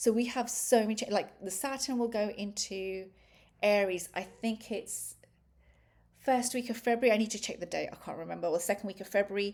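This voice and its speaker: A woman with a British accent, fairly high in pitch, at a fairly quick pace with fairly even intonation. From Britain. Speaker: astrologer. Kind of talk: astrology talk presented over a chart. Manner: hesitant, many fillers and restarts.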